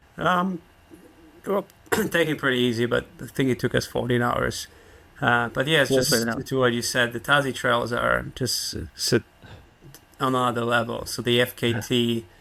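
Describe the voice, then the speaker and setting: A man with a Polish accent speaks at a moderate pace and a medium pitch. His tone is bright and sharp, and his pitch varies in an ordinary way. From Poland. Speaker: park ranger and trail runner. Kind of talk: podcast interview answer. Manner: understated, humble.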